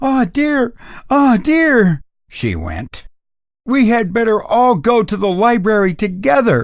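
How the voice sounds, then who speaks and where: Putting on a character voice, a man speaks high in pitch at a very slow pace with lively intonation. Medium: read story.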